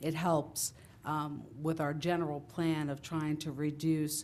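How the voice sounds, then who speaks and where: Audible room echo surrounds a woman whose voice is very deep and low. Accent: New Jersey. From Italian-American, New Jersey. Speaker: town councilwoman. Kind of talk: council meeting remarks. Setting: council chamber with audience. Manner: loud.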